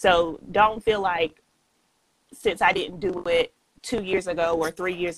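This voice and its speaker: The voice has a Southern US accent and fairly even intonation, with a dry, close sound and no echo. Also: woman. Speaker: author and entrepreneur. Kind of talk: podcast interview.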